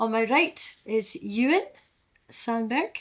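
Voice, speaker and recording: The speaker has an Aberdeen accent and talks at a very slow pace. Pitch varies in an ordinary way. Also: woman. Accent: Aberdeen Scottish. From Scotland, Aberdeen. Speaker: storyteller. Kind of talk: live storytelling. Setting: live online storytelling event.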